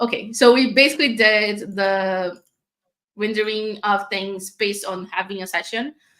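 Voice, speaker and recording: With a non-native accent, a woman speaks in a fairly high pitch and a bright, sharp tone, with ordinary pitch variation. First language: not English. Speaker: developer advocate. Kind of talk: live coding tutorial. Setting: live stream. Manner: casual, with many fillers.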